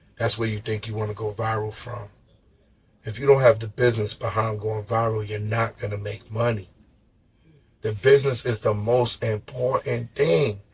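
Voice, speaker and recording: At a moderate pace, a man with a somewhat breathy voice at medium pitch speaks in a flat monotone. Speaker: podcast host. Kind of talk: casual chat.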